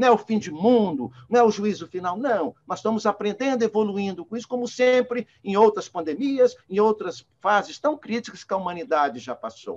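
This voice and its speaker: A high-pitched man with lively intonation, at a moderate pace with hardly any pauses. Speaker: spiritist lecturer. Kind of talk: lecture.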